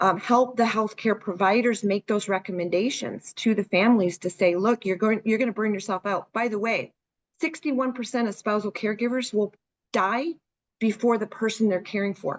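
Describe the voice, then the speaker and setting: A woman speaks with a normal speaking voice at a fairly high pitch. Her pace is moderate and her pitch varies in an ordinary way. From Canada, Hamilton, Ontario. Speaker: senior care marketing consultant. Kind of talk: webinar Q&A.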